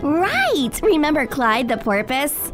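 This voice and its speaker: A female-sounding, high put-on character voice speaks at a fairly slow pace over clear background noise. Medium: audio drama. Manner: earnest, cheerful.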